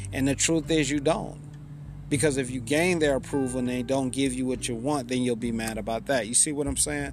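Against noticeable background noise and audible room echo, a man talks fairly quickly at a medium pitch with ordinary pitch variation. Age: 30s. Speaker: podcaster and author. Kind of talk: solo podcast monologue.

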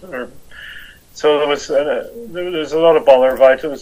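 Spoken with a Northern Irish accent, the voice moves at a moderate pace. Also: man. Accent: Northern Irish (Belfast). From Northern Ireland, Belfast. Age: 60s. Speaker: motorcycle traveller. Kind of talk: interview.

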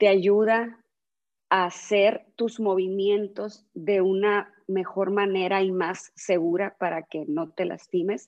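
The speaker is a woman with a medium pitch. She talks at a very slow pace. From Sonora, northwest Mexico. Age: 40s. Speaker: yoga teacher. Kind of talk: casual interview chat.

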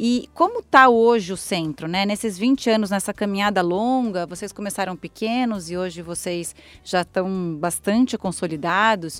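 A woman's unremarkable speaking voice at medium pitch, moderate in pace with ordinary pitch variation and hardly any pauses, on a very clean recording with a silent background. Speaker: podcast host. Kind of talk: interview; scripted intro and outro.

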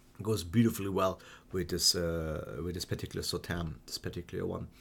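A man's somewhat breathy voice at a fairly quick pace, in a very clean recording with a silent background. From Germany and Hungary. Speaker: wine educator. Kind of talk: solo wine tasting monologue. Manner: halting, many fillers.

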